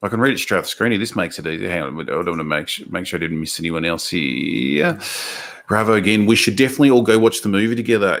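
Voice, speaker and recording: A man's fairly low voice at a very fast pace, with lively intonation. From Australia. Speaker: podcast host, movie commentator. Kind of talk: casual chat. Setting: live stream with chat.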